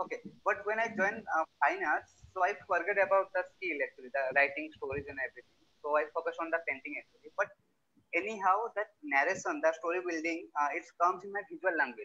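Words come at a very fast pace. Pitch varies in an ordinary way. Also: man, high pitch for a man. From Odisha, India (Mayurbhanj district); Odisha. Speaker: visual artist, printmaker. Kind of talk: artist presentation. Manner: halting. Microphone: video call.

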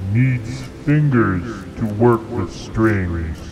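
A cartoonish character voice from a man at medium pitch, with clear background noise. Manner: terse broken speech.

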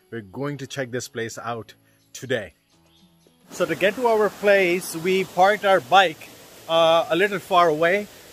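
There is music in the background as a man speaks at a high pitch. He keeps a moderate pace with ordinary pitch variation. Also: dry sound with no echo. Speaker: travel vlogger. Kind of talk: casual vlog chat. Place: garden. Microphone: phone near.

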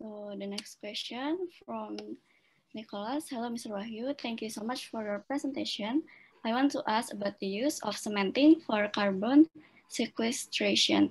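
A somewhat breathy woman at a fairly high pitch, moderate in pace, with ordinary pitch variation and big swings in loudness. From Indonesia. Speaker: event moderator. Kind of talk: formal moderation. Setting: video call. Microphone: video call.

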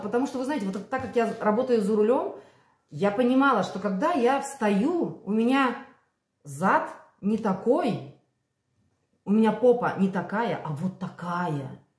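A woman's fairly high voice with very wide pitch swings and a fairly slow pace, audible room echo and a quiet background. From Belarus. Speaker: vlogger. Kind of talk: casual vlog monologue. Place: kitchen. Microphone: phone near.

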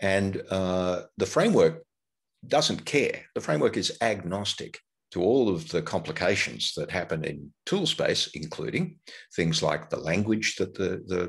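The background is quiet as a man speaks at a fairly slow pace. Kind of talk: lecture.

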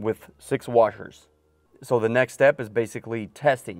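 A man talks with fairly even intonation. The sound is dry with no echo, and faint music plays in the background. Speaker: car builder vlogger. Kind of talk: casual vlog chat. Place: car. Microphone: lapel.

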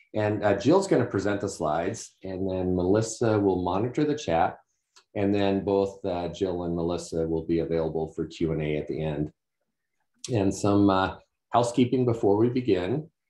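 With audible room echo around him, a man speaks in a dark, mellow tone at a fairly low pitch. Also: ordinary pitch variation, moderate pace, quiet background. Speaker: webinar host. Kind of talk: webinar introduction. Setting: video call. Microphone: webcam.

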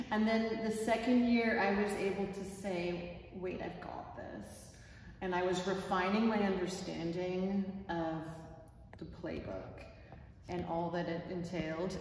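Strong room echo and light background noise surround a woman's voice. She speaks at a fairly slow pace with fairly even intonation. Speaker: teacher describing a workshop. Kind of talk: interview answer. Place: classroom. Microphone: camera far.

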